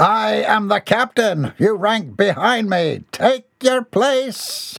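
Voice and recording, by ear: Putting on a character voice, a man speaks slowly at a high pitch with vocal fry, a fairly bright tone and lively intonation.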